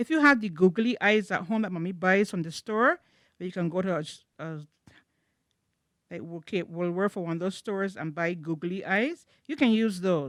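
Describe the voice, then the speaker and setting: In a very clean recording with a silent background, a woman with a plain, everyday voice speaks at medium pitch and a moderate pace with lively intonation. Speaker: children's church teacher. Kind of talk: craft tutorial for children.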